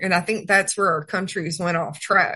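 With a Southern US accent, a woman talks at a moderate pace in a medium pitch, her tone bright and sharp. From Georgia, US South. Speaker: Senate candidate and horse trainer. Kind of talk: radio interview. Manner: halting.

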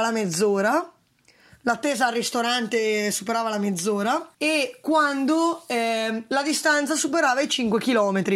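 Here a woman speaks very slowly with lively intonation. The recording is very clean, with a silent background. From northern Italy, Valtellina. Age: 20s. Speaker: food delivery rider and cycle tourist. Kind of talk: interview.

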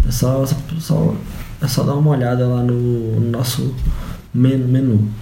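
A man's medium-pitched voice, monotone and flat, at a very slow pace, with audible room echo and noticeable background noise. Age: 20s. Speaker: holistic therapist. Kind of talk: casual chat. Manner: halting.

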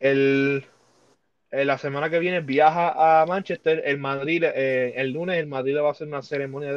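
Fairly high for a man, this voice belongs to a male speaker. He talks at a fairly quick pace. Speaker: sports podcast host. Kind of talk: casual chat. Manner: animated.

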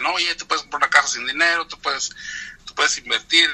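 A man speaks over noticeable background noise. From Mexico, Guanajuato. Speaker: entrepreneur. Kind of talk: interview. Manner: halting, frequent repetitions.

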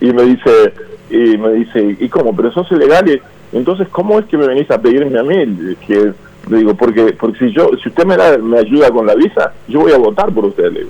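Over noticeable background noise, a man with a fairly high pitch swings his pitch very widely. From Uruguay, Canelones area. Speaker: businessman. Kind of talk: interview. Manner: halting, many repetitions.

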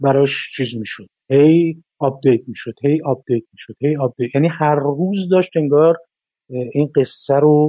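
A man has a plain, everyday voice with a fairly high pitch, ordinary pitch variation, a moderate pace and big swings in loudness. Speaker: screenwriter. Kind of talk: interview.

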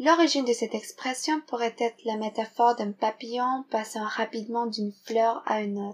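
With an unremarkable speaking voice, a woman of fairly high pitch keeps a moderate pace, fairly even intonation, and hardly any pauses. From Philippines. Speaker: French learner. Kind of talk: reading a vocabulary segment.

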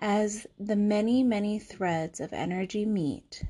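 A woman speaks fairly slowly at a medium pitch with fairly even intonation. Her tone is calm and soothing, dark and mellow. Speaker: podcast host. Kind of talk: guided meditation; casual talk, reading a document aloud. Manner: slow, calm, soothing delivery in the meditation; casual, conversational, hesitant with filler words.

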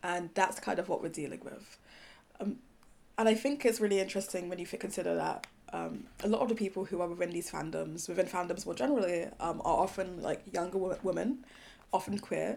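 A woman with vocal fry talks at a fairly quick pace and medium pitch, with ordinary pitch variation. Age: 20s. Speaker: speculative fiction writer. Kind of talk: casual chat.

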